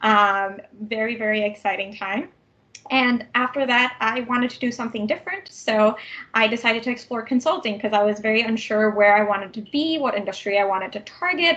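A woman with a Canadian accent and an unremarkable speaking voice, fairly high-pitched, at a fairly quick pace with ordinary pitch variation. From Vancouver, Canada. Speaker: tech program manager. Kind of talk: interview.

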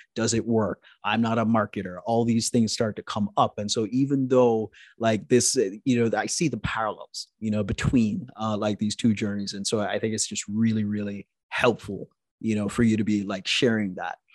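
In a plain, everyday voice, a man of medium pitch talks at a moderate pace with fairly even intonation, the sound dry and close with no echo over a quiet background. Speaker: podcast host. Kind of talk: casual interview chat. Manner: laughs often, filler-heavy.

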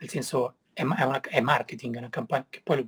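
Dry and close with no echo, a somewhat breathy man speaks at medium pitch and a moderate pace. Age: 40s. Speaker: snowboard filmmaker. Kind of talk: interview.

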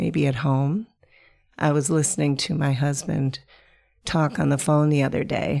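At a moderate pace, a woman speaks in a very deep, low voice with a warm, dark, mellow tone on a very clean recording with a silent background. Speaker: podcast host. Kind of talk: casual monologue. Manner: warm, conversational.

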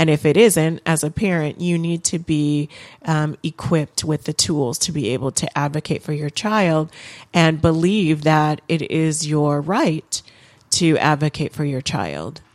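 A woman speaks at a very deep, low pitch with fairly even intonation. The recording is very clean, and the background is silent. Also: fairly slow pace. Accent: American. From Michigan, Lansing. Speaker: judge. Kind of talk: interview. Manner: hesitant, many fillers.

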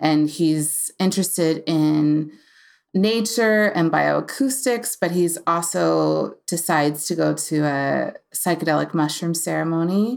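A woman with an American accent in a plain, everyday voice, fairly low in pitch with ordinary pitch variation, at a fairly slow pace and very even loudness, on a very clean recording with a silent background. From US Appalachia, Virginia/West Virginia border. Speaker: novelist and former diplomat. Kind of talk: casual interview.

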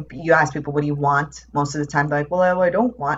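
A somewhat breathy woman's voice with a very deep, low pitch, an American accent, ordinary pitch variation and a very fast pace. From New York. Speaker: transformation coach. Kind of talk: casual chat.

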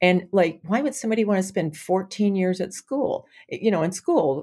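Speaking with an American accent, a woman has an unremarkable speaking voice at medium pitch and lively intonation. The recording is very clean, with a silent background. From US South, Alabama. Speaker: venture capital community engagement lead. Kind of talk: interview conversation.

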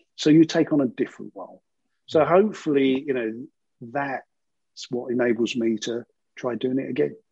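A man with a London accent talks at a fairly quick pace in a medium-pitched, dark, mellow voice with ordinary pitch variation, big swings in loudness and long, frequent pauses, recorded dry and close with no echo. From East London, England. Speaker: financial services CEO. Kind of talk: interview.

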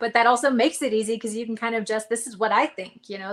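The speaker is a woman with an American accent. Her pitch is fairly high. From Nevada, near Reno. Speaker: author, former radio DJ. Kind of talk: casual interview chat. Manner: upbeat, laughs often.

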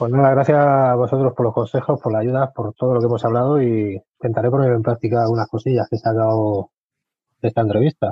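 A man talks at a very fast pace, somewhat breathy. His pitch is medium and his intonation fairly even. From Spain, Albacete. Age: 40s. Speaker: aspiring web developer, former hospitality worker. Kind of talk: interview.

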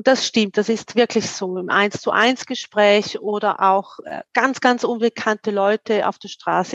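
A woman with a plain, everyday voice and fairly high pitch talks at a fairly slow pace with ordinary pitch variation, in a dry, close sound with no echo. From eastern Switzerland, St. Gallen. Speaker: career coach. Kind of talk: interview conversation.

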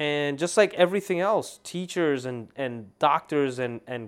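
On a very clean recording with a silent background, a man with a fairly high pitch uses a normal speaking voice at a fairly slow pace with lively intonation. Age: 30s. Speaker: podcast host; lawyer. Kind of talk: solo monologue podcast. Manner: casual, many fillers and restarts.

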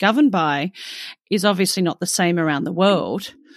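A woman with an Australian accent speaks at medium pitch. The sound is dry and close with no echo, a very clean recording with a silent background. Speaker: podcast host. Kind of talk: interview.

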